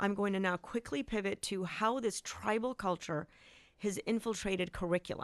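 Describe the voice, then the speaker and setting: A woman speaks in a normal speaking voice at medium pitch, with ordinary pitch variation, very even loudness, and a moderate pace, her sound dry and close with no echo against a quiet background. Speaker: school board member. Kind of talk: radio interview.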